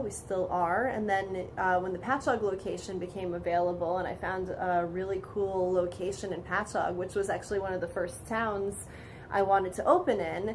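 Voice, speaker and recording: A woman speaks with fairly even intonation, and audible room echo surrounds her. Noticeable background noise is also present. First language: Polish. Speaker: vintage boutique owner. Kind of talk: interview.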